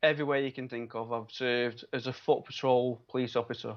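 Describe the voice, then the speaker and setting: In a Manchester accent, a man speaks with monotone, flat intonation. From Manchester, northern England. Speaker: biomedical scientist and local election candidate. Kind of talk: interview. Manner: hesitant, many fillers.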